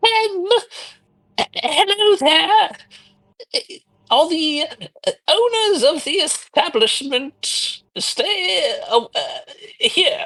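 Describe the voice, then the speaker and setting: A put-on character voice with very wide pitch swings, a very slow pace and long, frequent pauses. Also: man, extremely high pitch for a man. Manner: timid, hesitant.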